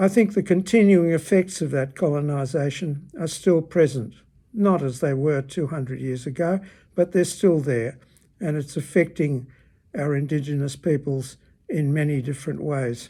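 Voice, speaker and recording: A man's somewhat breathy, fairly high voice with a dark, mellow tone, in an Australian accent, ordinary pitch variation, a moderate pace, and a very clean recording with a silent background. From Australia, Melbourne. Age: 80s+. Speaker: retired teacher. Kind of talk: personal opinion talk.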